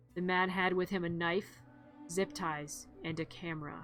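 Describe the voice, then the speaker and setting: Over music in the background, a woman with a fairly low voice speaks with ordinary pitch variation. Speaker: vtuber streamer. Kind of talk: horror story reading.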